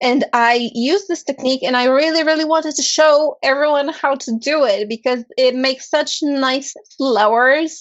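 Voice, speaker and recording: Speaking with a non-native accent, a woman uses a high pitch, ordinary pitch variation and a moderate pace. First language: not English. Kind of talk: casual chat.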